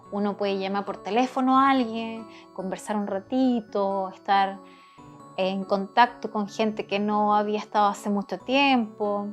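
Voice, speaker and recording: Music plays behind a woman who speaks very slowly in a calm tone. Her pitch is medium and her intonation fairly even. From South America. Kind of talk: casual talk to camera. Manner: calm, encouraging.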